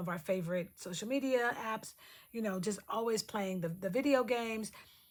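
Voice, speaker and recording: A woman speaks at a fairly quick pace, her voice somewhat breathy, with ordinary pitch variation. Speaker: lifestyle vlogger. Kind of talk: casual vlog talk. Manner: fast.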